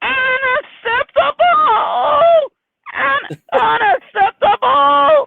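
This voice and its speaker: In a put-on character voice at an extremely high pitch, the speaker goes very slowly with very wide pitch swings and long, frequent pauses. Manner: indignant, repeating.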